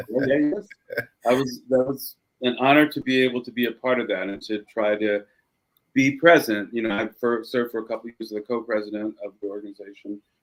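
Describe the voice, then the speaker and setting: A man's unremarkable speaking voice of medium pitch, at a fairly quick pace with ordinary pitch variation. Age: 50s. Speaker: lawyer and musician, podcast guest. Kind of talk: casual interview chat.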